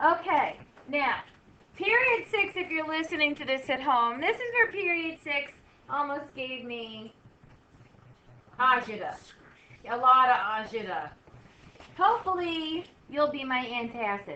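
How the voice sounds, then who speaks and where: Her voice is raised and projected, high in pitch, with very wide pitch swings. The woman goes at a fairly slow pace with long, frequent pauses. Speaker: math teacher. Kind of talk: classroom lesson. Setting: classroom.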